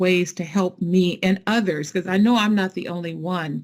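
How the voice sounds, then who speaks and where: A woman with an ordinary speaking voice, at a fairly slow pace and with ordinary pitch variation. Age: 60s. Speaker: nonprofit founder. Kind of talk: fireside chat interview.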